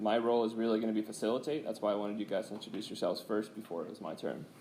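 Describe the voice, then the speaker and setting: A man talks at a very fast pace with hardly any pauses, his pitch fairly low and intonation fairly even. There is audible room echo. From US Pacific Northwest, Seattle. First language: Swedish. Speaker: chemistry professor. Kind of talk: lecture. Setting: classroom. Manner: casual.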